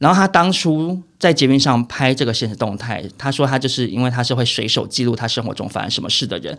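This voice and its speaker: Barely pausing, a man speaks at a very fast pace. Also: medium pitch for a man, ordinary pitch variation. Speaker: entertainment gossip podcast co-host, behind-the-scenes entertainment industry worker. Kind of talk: casual chat.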